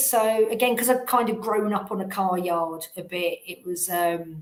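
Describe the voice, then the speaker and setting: There is noticeable background noise. A woman speaks with lively intonation. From England, London. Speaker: recruitment business owner. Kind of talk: interview.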